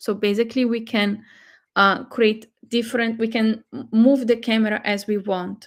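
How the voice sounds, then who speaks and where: Speech comes at a moderate speed. It carries a Portuguese accent. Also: woman. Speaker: AI tool presenter. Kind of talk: live webinar tutorial. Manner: halting, many fillers.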